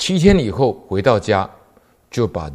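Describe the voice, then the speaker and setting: A fairly slow, somewhat breathy delivery with lively intonation over a quiet background. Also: man. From Taiwan. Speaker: police officer and Buddhist lecturer; lay Buddhist storyteller. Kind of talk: lecture; Buddhist talk telling a story. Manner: frequent filler particles. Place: studio.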